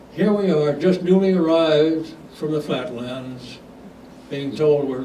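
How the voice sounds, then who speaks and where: A man's fairly high voice, with ordinary pitch variation, goes at a moderate pace while noticeable background noise sounds behind him. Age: 80s+. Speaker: retired airline captain. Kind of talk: talk to club audience.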